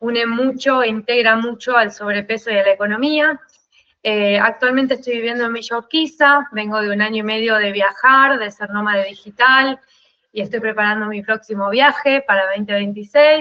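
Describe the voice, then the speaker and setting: A woman talks at a moderate pace. Her pitch is fairly high and her intonation fairly even. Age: 40s. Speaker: life consultant. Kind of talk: interview.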